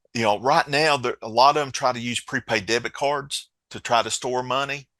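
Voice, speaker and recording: With an Appalachian accent, a man speaks at a moderate pace in a medium pitch with a bright, sharp tone, in a dry, close sound with no echo and a very clean recording with a silent background. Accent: Appalachian mountain accent, noticeable. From Appalachia, southwest Virginia mountains. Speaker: co-founder of a financial safety app. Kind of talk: podcast interview. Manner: conversational, halting with repeats.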